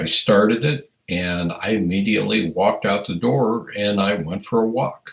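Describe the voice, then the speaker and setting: The speaker has a US Midwestern accent, a moderate pace and ordinary pitch variation. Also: man, fairly low pitch for a man. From Iowa, US Midwest. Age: 60s. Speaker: firearms educator, livestream host. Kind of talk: casual livestream chat reading viewer comments. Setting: livestream.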